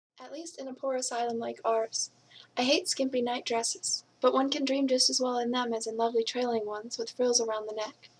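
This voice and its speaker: At a fairly quick pace, a woman with an American accent and a high pitch speaks with big swings in loudness. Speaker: English teacher reading aloud. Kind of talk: audiobook reading of a classic novel.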